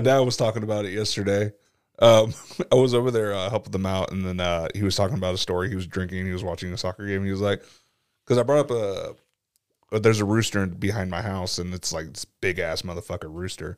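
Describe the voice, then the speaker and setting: A man with a fairly low pitch talks at a very fast pace with ordinary pitch variation, captured in a very clean recording with a silent background. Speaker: podcast co-host.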